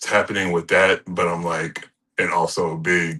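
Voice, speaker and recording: A man's bright, sharp tone at a very deep, low pitch, over a quiet background. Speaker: pro wrestler. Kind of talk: interview. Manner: halting.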